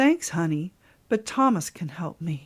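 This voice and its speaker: In a very clean recording with a silent background, a woman does a put-on character voice, fairly low in pitch with very wide pitch swings, at a moderate pace. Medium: read story. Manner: brisk, no-nonsense.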